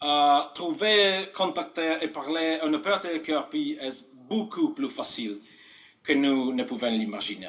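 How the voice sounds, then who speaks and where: In a non-native accent, a man with a high pitch for a man talks at a very slow pace with very wide pitch swings, and audible room echo fills the recording. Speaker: amateur radio operator. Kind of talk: conference talk. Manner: halting, many hesitations.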